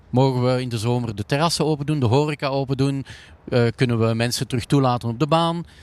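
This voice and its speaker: The recording is very clean with a silent background. A man of medium pitch speaks at a very fast pace. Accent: Flemish. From Flanders, Belgium. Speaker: company CEO. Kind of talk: interview. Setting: empty indoor ski hall. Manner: halting, many fillers.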